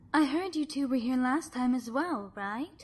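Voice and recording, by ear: A woman's high-pitched put-on character voice with lively intonation and a slightly husky edge. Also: fairly slow pace.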